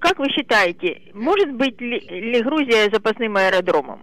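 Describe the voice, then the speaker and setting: Speaking fairly slowly, a woman uses a high pitch with very wide pitch swings. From Russia. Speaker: caller. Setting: phone call.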